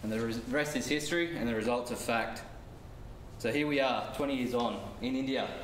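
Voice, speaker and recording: An Australian accent with fairly even intonation, plus audible room echo and light background noise. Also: man, fairly quick pace. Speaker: construction project manager presenter; presenter. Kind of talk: business presentation. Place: classroom. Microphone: camera far.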